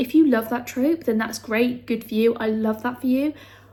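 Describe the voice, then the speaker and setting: Speaking in a British accent, a woman with a high pitch moves at a fairly quick pace with ordinary pitch variation. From UK. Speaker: booktuber. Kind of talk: casual vlog talk. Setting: home, handheld camera. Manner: chatty, filler-heavy.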